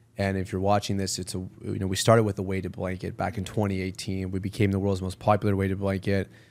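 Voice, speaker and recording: In a Canadian accent, a man with a fairly low voice talks very fast and energetically, with an animated tone and hardly any pauses, on a very clean recording with a silent background. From Canada, Toronto. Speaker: entrepreneur. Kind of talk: podcast interview. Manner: energetic, animated.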